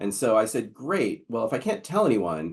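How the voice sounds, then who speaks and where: Speaking at a fairly quick pace, a man uses a fairly low-pitched voice. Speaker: webinar host, local SEO expert. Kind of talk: webinar presentation. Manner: fast.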